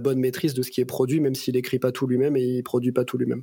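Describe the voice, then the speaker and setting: This man's voice sits at a medium pitch and has a dark, mellow tone. His intonation is monotone and flat. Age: 30s. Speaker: tech executive (CTO). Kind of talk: casual interview.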